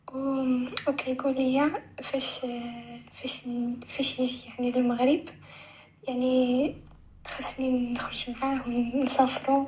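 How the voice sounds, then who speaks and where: Noticeable background noise behind a woman's high-pitched voice, very slow in pace, monotone and flat, with long, frequent pauses. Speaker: caller. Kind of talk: call-in advice request.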